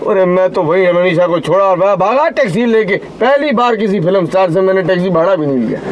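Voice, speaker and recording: With lively intonation and hardly any pauses, a man talks at a moderate pace over light background noise. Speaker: comic taxi driver. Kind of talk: comic storytelling monologue. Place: car.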